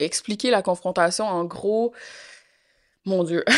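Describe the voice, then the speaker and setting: A woman speaks at a fairly slow pace in a Quebec accent. The recording is very clean, with a silent background. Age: young. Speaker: interview guest, complainant. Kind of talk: interview testimony. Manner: hesitant, many fillers.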